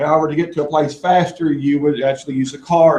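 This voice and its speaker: Here a man speaks with a strong Kentucky accent. His pitch is fairly high. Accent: thick Kentucky. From Kentucky, US South (Appalachian eastern Kentucky). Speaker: assistive technology presenter. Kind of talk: presentation to a live audience.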